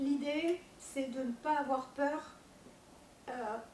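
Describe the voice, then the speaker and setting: A woman speaks at a high pitch with ordinary pitch variation, and audible room echo surrounds her voice. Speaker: panel speaker on commercial court. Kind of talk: public talk to audience. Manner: hesitant, many fillers.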